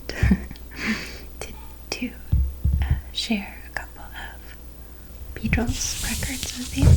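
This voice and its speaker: A soft-spoken whisper over noticeable background noise. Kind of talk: ASMR show-and-tell. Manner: soft-spoken, whispered.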